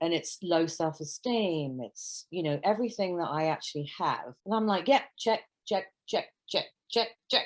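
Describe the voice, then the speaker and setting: A woman talks with a British accent and lively intonation. The recording is very clean, with a silent background. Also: medium pitch for a woman, moderate pace. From London, England. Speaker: nanny. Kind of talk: casual chat.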